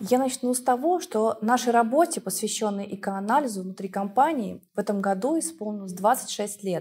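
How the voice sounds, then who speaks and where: Her voice is somewhat breathy and fairly high for a woman, with a dark, mellow tone. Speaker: laboratory head. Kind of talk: expert interview. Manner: formal. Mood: calm, professional. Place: studio.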